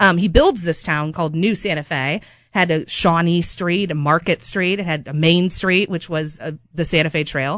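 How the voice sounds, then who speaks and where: Delivered at a moderate pace with fairly even intonation against a quiet background, this is a plain, everyday voice. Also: woman, fairly low pitch for a woman. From Kansas City area. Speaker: local history podcast co-host. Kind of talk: casual chat.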